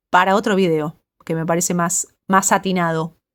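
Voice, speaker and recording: This is a woman speaking. She has a Rioplatense accent. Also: very clean recording, silent background. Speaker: psychologist. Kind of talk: personal monologue addressing someone. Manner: fast; halting.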